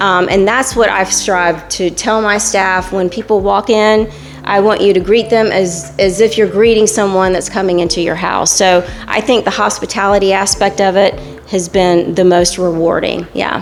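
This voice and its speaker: Over noticeable background noise, a woman with a medium pitch talks at a moderate pace, her intonation fairly even and her loudness very even. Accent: American. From Fayetteville, North Carolina, US South. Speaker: tap house owner. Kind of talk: interview. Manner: halting.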